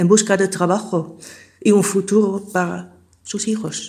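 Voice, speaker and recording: Delivered in a Dutch accent, the speech has a monotone, flat intonation. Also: woman. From Netherlands. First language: Dutch (speaking Spanish). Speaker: migrant. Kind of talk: testimony.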